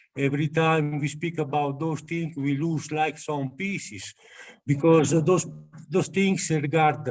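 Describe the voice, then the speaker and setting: A man with an Italian accent talks at a fairly slow pace, his pitch fairly high. His intonation stays fairly even while music plays in the background. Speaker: ashram devotee. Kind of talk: spiritual group discussion. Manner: halting.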